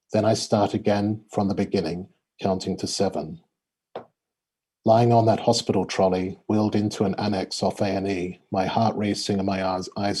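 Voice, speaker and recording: A man with an Australian accent, fairly low pitch and monotone, flat intonation at a moderate pace, on a very clean recording with a silent background. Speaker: poet. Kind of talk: reading aloud; casual chat. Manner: halting.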